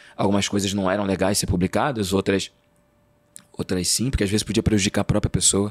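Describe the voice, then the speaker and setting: Delivered at a very fast pace, the voice keeps a very even loudness and a monotone, flat intonation, with a dry, close sound and no echo. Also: man. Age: 30s. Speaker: journalist and actor. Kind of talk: interview conversation. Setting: studio. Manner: hesitant, repeats words.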